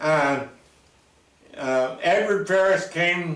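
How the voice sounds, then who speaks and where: A man speaks very slowly in an American accent. There is audible echo in the room. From Oregon. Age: 90s. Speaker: local elder. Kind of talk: oral history interview. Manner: halting.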